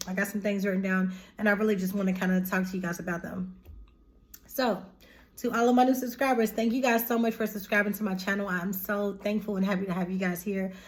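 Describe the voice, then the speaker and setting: A woman talks at a very fast clip with a somewhat breathy voice. Her intonation stays fairly even. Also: medium pitch for a woman. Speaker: tarot reader and spiritual YouTuber. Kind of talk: casual spiritual vlog talk to viewers. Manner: informal, chatty.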